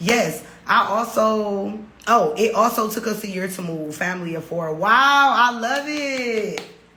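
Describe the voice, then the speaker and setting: Amid noticeable background noise and audible room echo, a woman speaks at a fairly slow pace in a fairly high voice with lively intonation and an animated tone. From Detroit, US Midwest. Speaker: podcast host, expat life coach. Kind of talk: livestream Q&A with chat.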